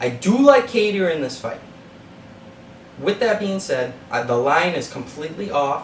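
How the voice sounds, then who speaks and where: A man's high, animated voice with a Boston accent, very wide pitch swings and long, frequent pauses, amid audible room echo and noticeable background noise. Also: moderate pace. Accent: Boston-area New England. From Massachusetts (Methuen). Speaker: sports betting podcast host. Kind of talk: betting analysis monologue.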